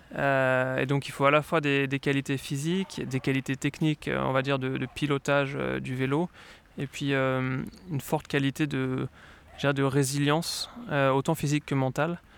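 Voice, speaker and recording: Speaking at a fairly slow pace, a man uses an ordinary speaking voice with a fairly high pitch. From France, Lyon. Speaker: former professional cyclist. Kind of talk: interview.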